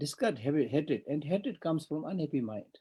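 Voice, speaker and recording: A man with a Tibetan accent, fairly high in pitch, somewhat breathy, with a dark, mellow tone and a moderate pace. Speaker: Buddhist monk teacher. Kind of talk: dharma teaching.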